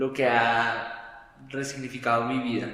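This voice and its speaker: A man's monotone, flat delivery amid noticeable background noise and audible room echo. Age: 30s. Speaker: podcast guest. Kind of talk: testimony.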